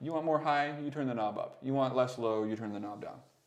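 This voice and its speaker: Here a man talks at a fairly quick pace. He mumbles his words. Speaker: audio production mentor. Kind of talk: tutorial. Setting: live stream. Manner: mumbly; casual, hesitant with fillers.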